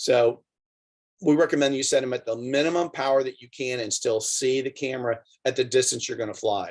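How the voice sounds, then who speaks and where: A man with an ordinary speaking voice talks at medium pitch and a fairly quick pace, showing ordinary pitch variation and big swings in loudness. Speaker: drone program instructor for coaches. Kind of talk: online instructional clinic.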